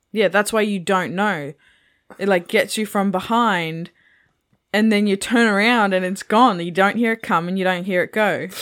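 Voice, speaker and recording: Recorded very cleanly with a silent background, a woman with an ordinary speaking voice speaks at a moderate pace in a medium pitch with fairly even intonation. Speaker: podcast co-host. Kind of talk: casual chat, movie review podcast.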